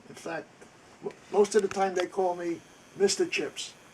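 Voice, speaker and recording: A high-pitched man with fairly even intonation against noticeable background noise. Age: 80s+. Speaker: military veteran and antiques restorer. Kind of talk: workshop tour. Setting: home basement workshop.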